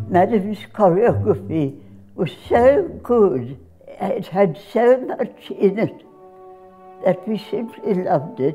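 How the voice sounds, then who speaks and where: Faint music plays in the background as the speaker goes at a very slow pace with very wide pitch swings. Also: woman. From Australia. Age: 80s+. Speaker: dancer. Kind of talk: interview. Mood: fond, reminiscent. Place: home room.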